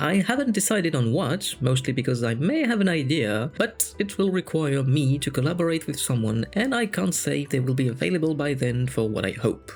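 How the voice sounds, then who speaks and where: Over music in the background, a man talks at a fairly quick pace and fairly high pitch with hardly any pauses, very even loudness and very wide pitch swings. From France. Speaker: fantasy storyteller. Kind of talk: casual channel update talk.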